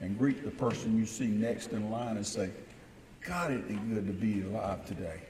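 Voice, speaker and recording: In an American accent, a man speaks at a medium pitch and a moderate pace, with ordinary pitch variation. Audible room echo and noticeable background noise sit around his voice. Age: 60s. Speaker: business owner and mayor. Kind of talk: welcome speech. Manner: animated.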